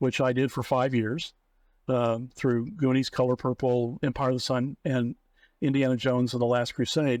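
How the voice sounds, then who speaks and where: Recorded with a dry, close sound with no echo and a quiet background, a man with an American accent speaks at a moderate pace in a medium pitch, with very even loudness and fairly even intonation. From Oklahoma, US. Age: 60s. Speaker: film producer. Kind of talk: interview. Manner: hesitant, many fillers.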